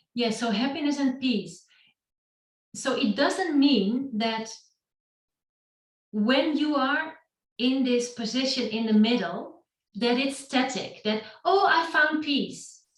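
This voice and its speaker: A woman with a high pitch speaks at a very slow pace, with long, frequent pauses and ordinary pitch variation. Audible room echo surrounds her voice. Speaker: yoga teacher. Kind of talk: talk to online meetup. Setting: online session.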